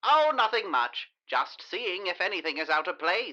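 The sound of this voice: A female-sounding voice performs a put-on character voice. The pace is moderate.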